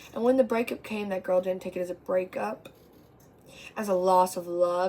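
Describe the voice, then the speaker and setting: Her tone is dark and mellow, with fairly even intonation. The woman speaks at a medium pitch. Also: moderate pace. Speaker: amateur poet. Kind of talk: poetry reading. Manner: stutter.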